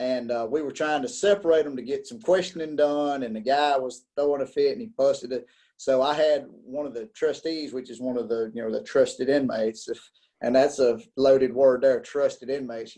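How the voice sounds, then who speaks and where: A man speaks at a fairly quick pace with a fairly high pitch. His tone is dark and mellow, with big swings in loudness. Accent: American. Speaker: podcaster, former corrections officer. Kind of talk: interview. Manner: casual, with many fillers and repetitions.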